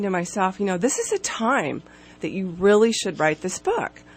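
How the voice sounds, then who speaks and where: A woman's medium-pitched voice at a fairly quick pace, over noticeable background noise. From Alaska. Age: 50s. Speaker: author and CrossFit masters athlete. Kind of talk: radio interview. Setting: radio studio.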